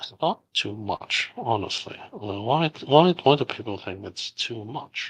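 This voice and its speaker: In a Cantonese accent, a somewhat breathy voice moves at a fairly slow pace with hardly any pauses, lively intonation and big swings in loudness, the sound dry and close with no echo. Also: man, medium pitch for a man. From Hong Kong. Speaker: game studio founder. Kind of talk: live Q&A. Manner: halting.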